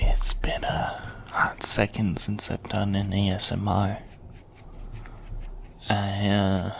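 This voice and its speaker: The speaker goes at a very slow pace with long, frequent pauses while noticeable background noise runs underneath. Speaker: ASMR creator / vtuber. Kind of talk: casual ASMR rambling talk. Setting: binaural microphone recording. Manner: soft, intimate, conversational.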